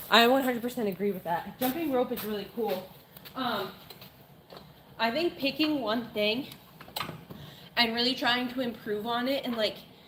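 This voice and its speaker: Over noticeable background noise, a woman with an American accent speaks at a moderate pace, her high pitch carrying lively intonation. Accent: slight Maine accent, dropped R's slip out. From Maine, US. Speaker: fitness livestreamer. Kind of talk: casual live-stream chat while working out. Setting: gym.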